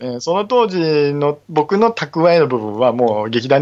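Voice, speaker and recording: A man with a fairly high pitch and very wide pitch swings. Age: 40s. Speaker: stage actor and theater crew, podcaster. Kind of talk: casual chat. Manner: animated.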